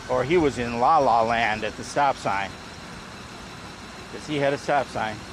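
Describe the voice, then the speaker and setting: With noticeable background noise around him, a man of medium pitch talks at a moderate pace, leaving long, frequent pauses. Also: ordinary pitch variation. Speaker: vlogger riding a trike. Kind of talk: casual vlog monologue. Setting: outdoors, riding a trike. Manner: loud.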